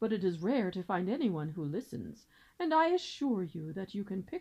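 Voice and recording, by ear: In a natural voice, the words are read aloud.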